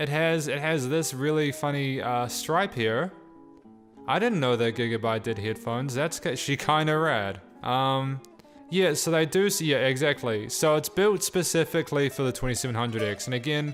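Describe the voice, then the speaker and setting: Music plays in the background as a man speaks at a moderate pace. His fairly high voice carries lively intonation. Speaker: PC hardware youtuber. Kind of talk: casual talk to camera.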